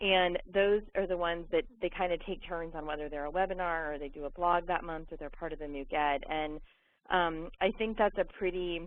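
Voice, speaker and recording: This woman's voice is fairly low in pitch. Its pitch variation is ordinary. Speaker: education nonprofit representative. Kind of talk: webinar presentation. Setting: webinar. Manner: fast.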